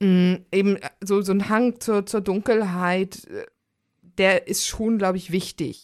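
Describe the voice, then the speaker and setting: On a very clean recording with a silent background, a woman at medium pitch talks at a very slow pace in a monotone, flat intonation, with long, frequent pauses. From Germany. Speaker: podcast host. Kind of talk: casual chat.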